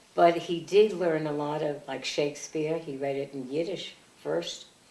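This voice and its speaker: Amid noticeable background noise, a woman with an American accent speaks in a very deep, low pitch, with ordinary pitch variation and big swings in loudness. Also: moderate pace. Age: 80s+. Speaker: family elder recalling her parents. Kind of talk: oral history interview. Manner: halting.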